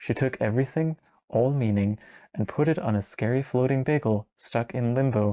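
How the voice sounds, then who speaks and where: A man's dark, mellow voice at medium pitch and moderate pace, with ordinary pitch variation and very even loudness, in a dry, close sound with no echo over a quiet background. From Denmark. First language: Danish. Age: 20s. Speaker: video essayist. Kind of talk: video essay narration. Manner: casual, conversational.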